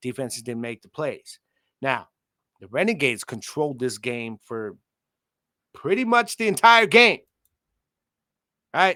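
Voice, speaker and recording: Dry and close with no echo, the voice has a bright, sharp tone, an animated delivery and very wide pitch swings. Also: man, very clean recording, silent background. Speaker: sports podcast host. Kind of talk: casual sports commentary rant. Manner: loud.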